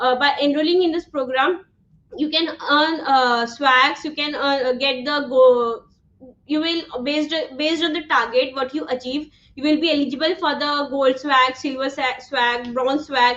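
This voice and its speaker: Loud speech with an Indian accent, fairly even intonation and a moderate pace. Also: woman, high pitch for a woman. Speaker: online instructor. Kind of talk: live online class. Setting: livestream.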